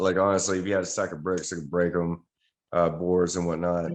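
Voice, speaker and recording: A man with an American accent and a very deep, low pitch against a quiet background. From Texas. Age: 40s. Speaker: pro wrestler. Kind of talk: interview.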